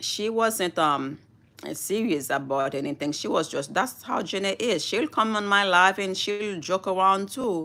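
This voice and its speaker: A woman with a non-native accent speaks at a medium pitch and a fairly slow pace, her tone bright, sharp and animated with lively intonation. The recording is very clean, with a silent background. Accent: noticeable foreign. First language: Haitian Creole / French. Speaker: YouTuber. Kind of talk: live stream chat. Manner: slow, deliberate.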